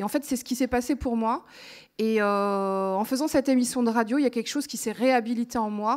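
With ordinary pitch variation, a woman speaks at a fairly high pitch against a quiet background. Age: 30s. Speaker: radio reporter and documentary maker; radio reporter. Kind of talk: testimony. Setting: stage with audience. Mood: emotional, reflective. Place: stage. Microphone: handheld.

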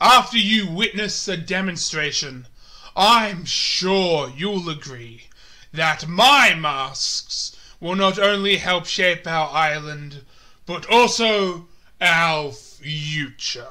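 A man puts on a character voice with a high pitch. He speaks at a very slow pace. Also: very clean recording, silent background. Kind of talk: audition reading.

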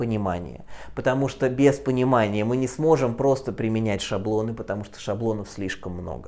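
A man speaks with lively intonation in a dark, mellow tone. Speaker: physics teacher. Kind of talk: lecture. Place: classroom. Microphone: lapel.

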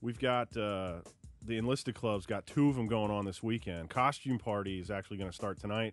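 A man talks at a fairly quick pace. The sound is dry with no echo, and faint music plays in the background. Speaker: base marketing staffer, guest. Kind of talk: casual radio chat. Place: studio.

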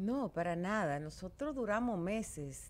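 Speaking at a very slow pace, a woman keeps her intonation lively. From Dominican Republic. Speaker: politician. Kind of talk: interview. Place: studio. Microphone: studio mic.

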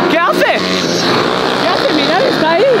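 Crowd noise fills the background. The speaker keeps to a moderate pace. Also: man. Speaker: vlogger. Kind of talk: excited race commentary vlog. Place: stadium. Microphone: phone near.

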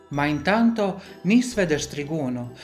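Over background music, a woman with a very deep, low pitch speaks at a fairly slow pace with lively intonation. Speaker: folk singer in a klapa group. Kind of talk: dialect fairy tale reading.

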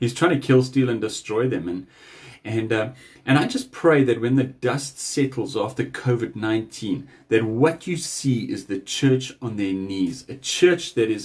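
A man's somewhat breathy delivery at a fairly slow pace, with ordinary pitch variation. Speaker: speaker. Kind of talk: devotional message. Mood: earnest, urging. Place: home room. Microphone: phone near.

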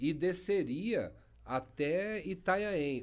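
A man with lively intonation. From Brazil, Embu-Guaçu, São Paulo state; São Paulo state, Brazil. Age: 50s. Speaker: mayor. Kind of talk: interview conversation. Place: studio. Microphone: studio mic.

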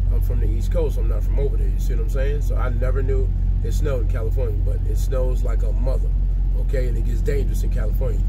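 Loud background noise surrounds a man speaking at a very fast pace. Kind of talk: casual vlog chat. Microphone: headset.

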